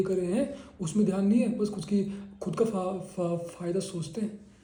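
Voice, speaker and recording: Noticeable background noise and audible room echo fill the recording. A man talks at a fairly slow pace in a high pitch. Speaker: patient. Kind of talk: clinical case-taking interview. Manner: halting, repeated syllables.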